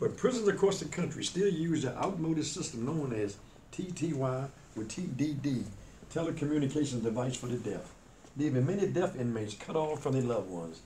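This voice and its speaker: With lively intonation, a man talks at a fairly quick pace and fairly high pitch in a normal speaking voice. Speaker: radio talk show host. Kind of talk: news-style read of a report on deaf prisoners.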